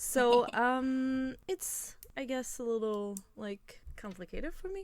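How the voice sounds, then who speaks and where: A woman speaks in a French accent at a high pitch. Her pace is very slow. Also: lively intonation. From France. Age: 20s. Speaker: podcast co-host. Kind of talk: casual chat.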